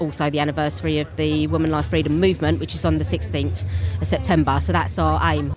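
Noticeable background noise runs under this clip. A woman talks at a fairly quick pace. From London. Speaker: theatre-maker. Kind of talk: interview.

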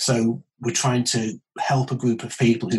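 A man speaks with a British accent and ordinary pitch variation. His voice is somewhat breathy. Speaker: consultant urologist. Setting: video call.

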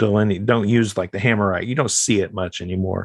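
Here is a normal speaking voice with ordinary pitch variation. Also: man. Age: 40s. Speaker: occultist and professional hypnotist. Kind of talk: casual chat.

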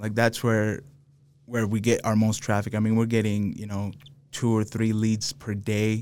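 At a moderate pace, the speaker talks with an American accent and monotone, flat intonation. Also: man, fairly low pitch for a man. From Los Angeles, raised mostly in Salt Lake City, Utah. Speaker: contractor and business owner. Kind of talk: casual chat.

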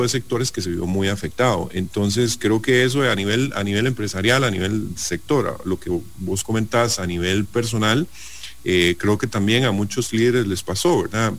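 At a fairly slow pace, a man with an ordinary speaking voice talks at a fairly low pitch with ordinary pitch variation. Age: 40s. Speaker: business executive. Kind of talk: radio interview.

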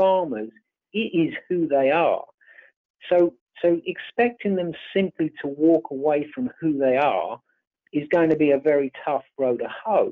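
With a British accent, a man uses lively intonation at a fairly slow pace and a fairly high pitch. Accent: English (UK). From England (born on a farm in Ireland). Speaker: farm succession advisor. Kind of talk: interview.

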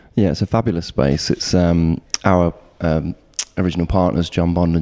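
Speaking at a moderate pace with an East Midlands accent, a man has a very deep, low pitch. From Nottingham, East Midlands England. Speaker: architect. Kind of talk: casual interview. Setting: architects' office.

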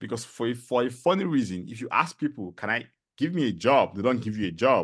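A man with a Nigerian accent, medium pitch, very wide pitch swings and an animated tone, quiet background. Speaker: content strategist and podcaster, immigrant. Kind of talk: casual interview. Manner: fast talker.

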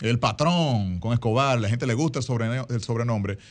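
An unremarkable speaking voice, a man talks at a fairly quick pace over a quiet background. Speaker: actor and guest co-host. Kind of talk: radio talk show chat.

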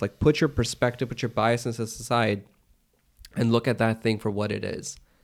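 A man at a medium pitch talks at a fairly quick pace in an unremarkable speaking voice. The recording is very clean, with a silent background. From US, Pakistani-American family. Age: 30s. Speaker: entrepreneur. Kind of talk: casual chat.

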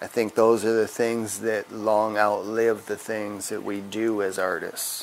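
In an American accent, a man speaks fairly slowly at a fairly low pitch, monotone and flat, with hardly any pauses, over noticeable background noise. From Wisconsin. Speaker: tattoo artist. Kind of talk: interview. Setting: tattoo shop.

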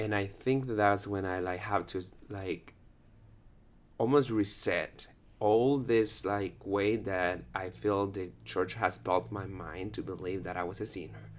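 Over a very clean recording with a silent background, a man with a fairly low pitch speaks at a fairly slow pace with ordinary pitch variation. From Guatemala, Guatemala City. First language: Spanish. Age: 30s. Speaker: dancer. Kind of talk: casual chat.

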